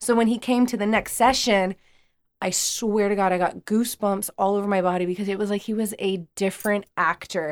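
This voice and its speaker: A normal speaking voice moves at a fairly quick pace with fairly even intonation. The sound is dry and close, with no echo. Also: woman, medium pitch for a woman. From US, Mexican-American. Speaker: actress and acting coach. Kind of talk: casual chat. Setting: studio.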